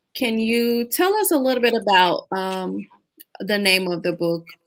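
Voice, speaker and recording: An ordinary speaking voice at a fairly slow pace. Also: woman. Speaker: podcast host. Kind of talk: interview.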